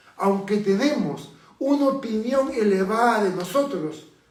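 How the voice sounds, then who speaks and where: In a room with audible echo, a man speaks in a high voice with ordinary pitch variation. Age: 60s. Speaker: pastor. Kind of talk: sermon.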